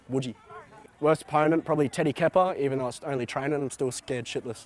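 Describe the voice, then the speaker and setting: A man with an Australian accent speaks at a fairly high pitch and a very fast pace. His intonation is fairly even, and the sound is dry with no echo. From Australia, Cairns, Queensland; Queensland, Australia. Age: 20s. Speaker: rugby league player. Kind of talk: casual interview. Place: open country.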